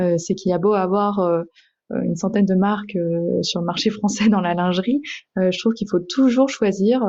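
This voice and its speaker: Delivered at a moderate pace, the intonation stays fairly even. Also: woman. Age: 20s. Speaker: entrepreneur. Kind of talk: interview. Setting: podcast. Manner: hesitant, many fillers.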